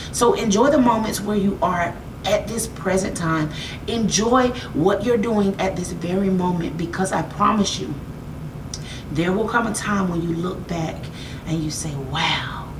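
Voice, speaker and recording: Speaking fairly slowly with an animated tone, a woman with an American accent has a medium pitch and ordinary pitch variation, with audible room echo and noticeable background noise. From United States. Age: 30s. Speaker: makeup artist and motivational vlogger. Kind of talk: motivational talk.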